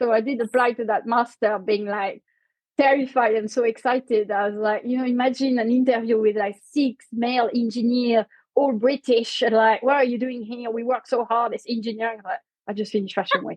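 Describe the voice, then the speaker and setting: A woman speaks at a fairly quick pace with a French accent. Her pitch is fairly high and her intonation monotone and flat. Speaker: company co-founder. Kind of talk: interview.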